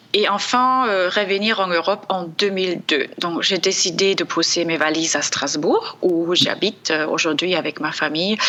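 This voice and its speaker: A woman with a slight German accent at a medium pitch, moderate pace with hardly any pauses, ordinary pitch variation and very even loudness, over noticeable background noise. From Germany, Leipzig. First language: German (speaking French). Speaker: communication trainer, company founder. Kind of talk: interview. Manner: hesitant with frequent fillers.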